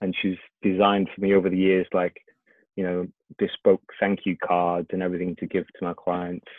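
A man speaks at a fairly quick pace in a very deep, low pitch. His intonation is monotone and flat. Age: 40s. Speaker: fitness instructor and business owner. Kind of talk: casual interview. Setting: video call. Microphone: occasional crackle from video call.

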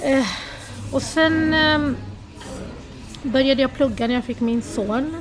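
High in pitch, a woman speaks at a fairly slow pace with ordinary pitch variation. Noticeable background noise and audible room echo surround her. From Sweden, Lebanese-born. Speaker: food blogger. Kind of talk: interview.

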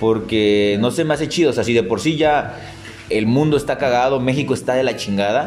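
With music in the background, a man talks at a fairly quick pace and medium pitch. His loudness is very even and his pitch variation ordinary. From Tapachula, Chiapas, southern Mexico. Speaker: podcast co-host. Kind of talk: casual chat.

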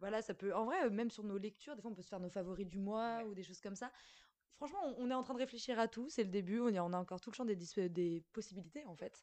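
Her pitch is medium for a woman. She talks at a very fast pace. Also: ordinary pitch variation. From Paris, France. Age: 20s. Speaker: university student, podcast co-host. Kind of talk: casual chat.

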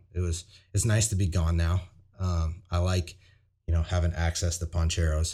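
A man's very deep, low voice, dark and mellow, somewhat breathy, in a flat monotone at a moderate pace, on a very clean recording with a silent background. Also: very even loudness. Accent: Midwestern US. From Iowa, small town west of Des Moines. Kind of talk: casual chat.

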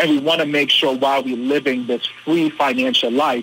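A man with a fairly high pitch, over noticeable background noise. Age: 30s. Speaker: financial literacy coach and reverend. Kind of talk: interview.

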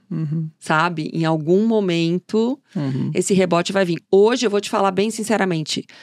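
On a very clean recording with a silent background, a woman with an unremarkable speaking voice talks at a medium pitch with hardly any pauses, in a dry, close sound with no echo. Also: ordinary pitch variation, moderate pace. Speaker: fashion journalist and consultant. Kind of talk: interview.

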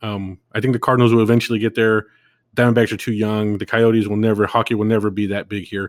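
A man's fairly low, flat monotone voice with an American accent, very fast, in a dry, close sound with no echo on a very clean recording with a silent background. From California. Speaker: podcast host. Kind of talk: solo monologue podcast.

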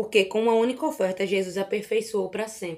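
A woman talks at a fairly quick pace in a plain, everyday voice. Her pitch is fairly high, with ordinary variation. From Recife, northeastern Brazil. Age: 20s. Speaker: Bible content creator on Instagram. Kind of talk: casual Bible study discussion.

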